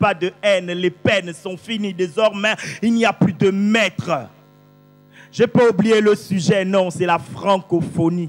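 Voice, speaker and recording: Music plays in the background. The speech is very slow, with ordinary pitch variation. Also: man. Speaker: slam poet. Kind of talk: slam poetry performance. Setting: live stage.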